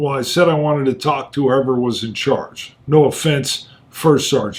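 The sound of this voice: A man's raspy, put-on character voice, fairly high in pitch, at a moderate pace with fairly even intonation.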